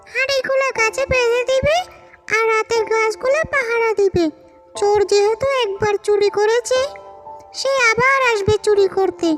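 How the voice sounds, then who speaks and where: Over loud music in the background, a woman puts on a cartoonish character voice at an extremely high pitch, speaking at a fairly slow pace. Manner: brisk, commanding.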